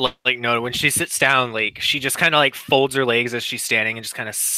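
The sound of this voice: With fairly even intonation, the voice reads in an unforced manner.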